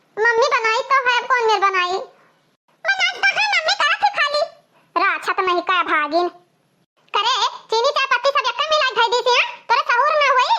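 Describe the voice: A squeaky, cartoonish character voice from a woman, extremely high-pitched and lively in intonation, at a moderate pace with very even loudness and long, frequent pauses.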